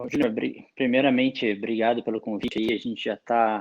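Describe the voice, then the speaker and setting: With fairly even intonation, a man of medium pitch talks at a moderate pace. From Araras, interior of São Paulo. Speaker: beer sommelier, engineer. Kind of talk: interview. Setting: remote recording.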